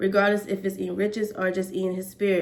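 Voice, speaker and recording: A plain, everyday voice at a fairly quick pace. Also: woman. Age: 20s. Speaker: hair braider and vlogger. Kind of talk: casual vlog talk.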